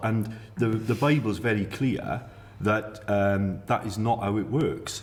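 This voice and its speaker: Fairly slow, somewhat breathy speech with ordinary pitch variation and audible room echo. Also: man. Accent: Welsh. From Wales. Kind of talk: casual panel discussion. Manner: animated.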